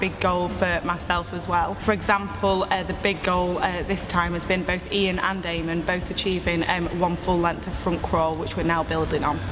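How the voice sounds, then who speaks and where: Over music in the background, a woman with a medium-pitched voice talks at a fairly quick pace, and the room echo is audible. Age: 20s. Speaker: swimming teacher. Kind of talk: interview testimony.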